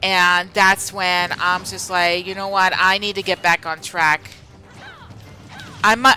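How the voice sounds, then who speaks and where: A woman at a medium pitch with an American accent, talking at a fairly slow pace with music in the background. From Pennsylvania, US. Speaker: streamer. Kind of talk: casual live-stream chat while gaming. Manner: hesitant, many fillers and restarts.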